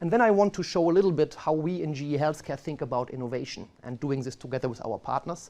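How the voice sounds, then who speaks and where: A man puts on a strong German accent. His voice is fairly high yet dark and mellow in tone. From Germany. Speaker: marketing executive. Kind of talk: presentation.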